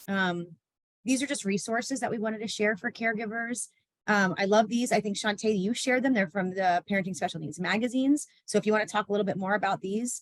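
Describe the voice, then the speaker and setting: Speaking at a very fast pace, a woman uses a medium pitch with ordinary pitch variation. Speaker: behavior support professional. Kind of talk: panel discussion.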